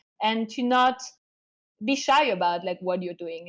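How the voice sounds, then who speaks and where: A woman with a French accent speaks fairly slowly at a medium pitch. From France. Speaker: art curator and advisor. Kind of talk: online class lecture. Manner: hesitant with many fillers.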